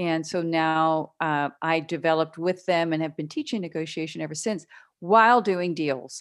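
A woman's fairly low voice with an American accent, a normal speaking voice at a moderate pace. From western Pennsylvania. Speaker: business broker and negotiation trainer. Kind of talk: interview. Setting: remote call.

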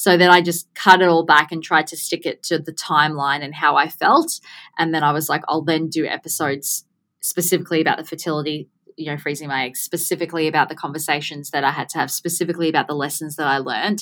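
Talking very fast, a woman with a very deep, low pitch uses monotone, flat intonation and a bright, sharp tone, with big swings in loudness. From Gold Coast, Australia. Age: 30s. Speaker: business owner, podcaster, skin cancer advocate. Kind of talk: interview conversation.

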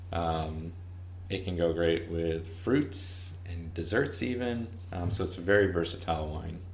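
A man with a very deep, low voice and fairly even intonation. Noticeable background noise and audible room echo surround him. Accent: American. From US Northeast, Lower Hudson Valley, New York. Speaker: winemaker. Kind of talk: casual interview.

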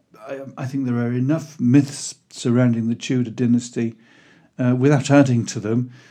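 Here a man with a Welsh accent speaks at a moderate pace and medium pitch. His tone is dark and mellow, his intonation monotone and flat. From Wales (Pembrokeshire). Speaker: historical fiction author. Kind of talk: scripted narration.

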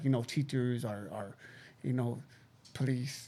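A man at a medium pitch and moderate pace, with fairly even intonation

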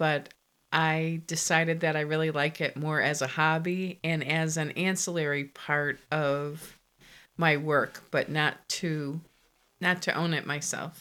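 On a very clean recording with a silent background, a woman with an American accent speaks fairly slowly in a very deep, low pitch and a monotone, flat intonation. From Connecticut. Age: 50s. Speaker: interior designer. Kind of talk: casual interview.

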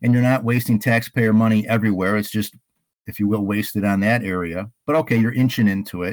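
A man with an American accent, fairly low pitch and fairly even intonation, on a very clean recording with a silent background. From Illinois. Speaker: local political candidate. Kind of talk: interview. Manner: halting.

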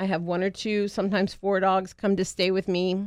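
A woman speaks in a plain, everyday voice at a moderate pace and medium pitch. Her intonation is fairly even, and the recording is very clean with a silent background. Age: 50s. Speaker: pet sitting business owner. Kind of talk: radio interview.

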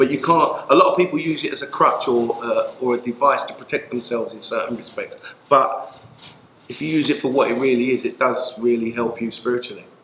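Amid noticeable background noise, a man with a London accent speaks at a fairly quick pace. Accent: London English, Multicultural London. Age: 50s. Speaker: former prisoner, community worker. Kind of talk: interview.

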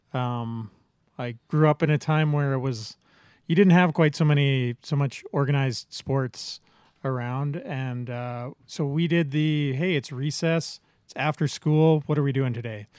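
A man with an Albertan accent speaks at a fairly slow pace and a fairly high pitch, with ordinary pitch variation and big swings in loudness, the sound dry and close with no echo on a very clean recording with a silent background. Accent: Canadian (Alberta). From Medicine Hat, Alberta, Canada. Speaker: podcast co-host. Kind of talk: casual chat. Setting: home basement.

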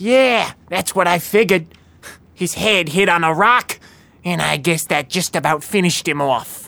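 At a middle pitch, a female-sounding voice talks at a moderate pace with ordinary pitch variation. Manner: cocky, streetwise.

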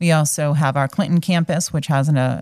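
A woman's very deep, low voice with an American accent and fairly even intonation. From north central Massachusetts, Fitchburg. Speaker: hospital external affairs director. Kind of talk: interview conversation.

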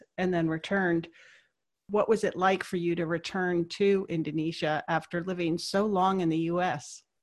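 A woman talks in a plain, everyday voice, pitched fairly low, at a moderate pace. Her pitch varies in an ordinary way over a quiet background. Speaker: podcast host. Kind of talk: interview conversation. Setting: phone call.

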